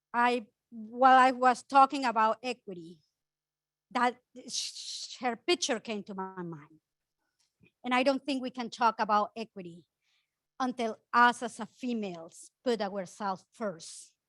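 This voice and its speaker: With a Spanish accent, a woman speaks at a fairly slow pace and fairly high pitch, with ordinary pitch variation, long, frequent pauses and a dry, close sound with no echo. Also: big swings in loudness, very clean recording, silent background. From Ecuador. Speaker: housing nonprofit director. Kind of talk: conference panel talk. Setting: conference room with audience and mic.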